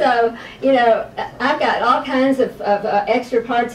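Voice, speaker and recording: With fairly even intonation, a woman's fairly high voice comes through noticeable background noise. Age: 60s. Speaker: patient testimonial, veteran. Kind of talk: testimony. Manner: hesitant, many fillers.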